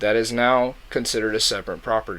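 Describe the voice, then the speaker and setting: A man with an American accent, a bright, sharp tone and medium pitch. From US. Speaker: YouTube podcaster. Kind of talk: explainer monologue. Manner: casual.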